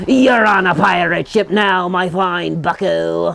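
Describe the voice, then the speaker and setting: Put-on character voice, fairly slow delivery, and clear noise in the background. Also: man, high pitch for a man. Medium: read story. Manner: bold, bossy.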